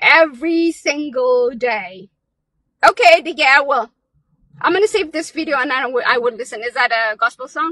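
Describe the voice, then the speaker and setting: Her voice is raised and projected, high-pitched, bright and sharp, and energetic in tone, with lively intonation at a moderate pace and a dry, close sound with no echo. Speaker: live-stream vlogger. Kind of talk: pep talk; casual live chat. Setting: outdoors, in a car at a park, live stream. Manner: animated, urgent, rallying, challenging the audience; energetic, chatty.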